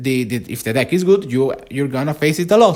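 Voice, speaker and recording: With a non-native accent, a man talks at a fairly high pitch using lively intonation. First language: not English. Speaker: gaming content creator. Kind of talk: casual monologue vlog. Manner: halting, many fillers and restarts.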